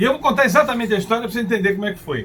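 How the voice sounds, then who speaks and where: Noticeable background noise runs under this man's speech. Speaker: motivational speaker. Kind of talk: personal storytelling monologue. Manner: occasional hesitations and restarts.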